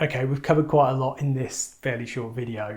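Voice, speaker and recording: Somewhat breathy and dark, mellow in tone, a man speaks at a very fast pace and medium pitch. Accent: English. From England. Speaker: ecommerce trainer. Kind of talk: tutorial.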